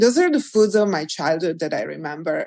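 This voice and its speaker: A woman speaks with an Italian accent. Her pitch sits in the middle range. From Italy, small mountain village. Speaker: nutritionist and cookbook author. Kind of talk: interview conversation.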